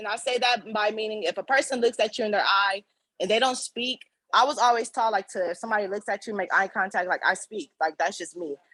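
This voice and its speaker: Recorded dry and close with no echo, a woman talks at a very fast pace in an animated tone, her fairly high pitch moving with ordinary variation. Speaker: campus service worker. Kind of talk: panel discussion. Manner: loud.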